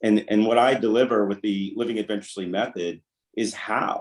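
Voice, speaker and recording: A fairly low-voiced man with an American accent at a fairly quick pace. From US Southeast coast, small island. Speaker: life coach. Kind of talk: interview. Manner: halting, self-correcting.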